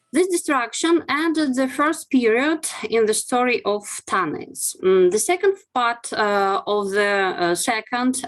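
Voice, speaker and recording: Woman with a Russian accent, high pitch, very wide pitch swings, very even loudness, fairly slow pace. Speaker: archaeologist. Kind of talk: academic webinar presentation. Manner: halting, many fillers.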